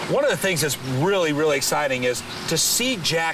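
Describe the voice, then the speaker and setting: Over noticeable background noise, a man talks fairly quickly in a fairly high voice with lively intonation. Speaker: infomercial host. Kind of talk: TV infomercial hosting.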